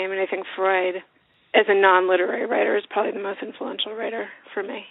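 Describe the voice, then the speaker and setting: Speaking very fast at a medium pitch, a woman uses monotone, flat intonation with big swings in loudness. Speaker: novelist and author. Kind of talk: casual interview chat.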